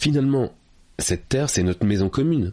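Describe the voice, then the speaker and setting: Lively intonation runs through this man's plain, everyday voice. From France, Paris suburbs. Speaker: public speaking coach and author. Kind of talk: interview.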